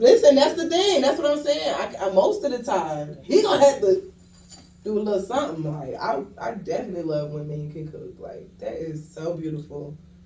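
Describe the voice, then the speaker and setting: Amid noticeable background noise and audible room echo, a woman speaks at a moderate pace with big swings in loudness. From US South, Johns Island, South Carolina. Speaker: podcast guest, poet. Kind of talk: casual chat.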